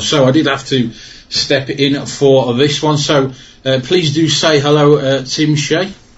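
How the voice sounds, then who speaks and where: A man with a British accent over noticeable background noise. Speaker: trading card channel host. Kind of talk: interview.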